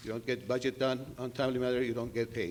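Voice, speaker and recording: At a fairly quick pace, a man with a non-native accent speaks in a monotone, flat intonation. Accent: foreign accent, noticeable. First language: not English. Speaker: politician. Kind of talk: political debate opening statement.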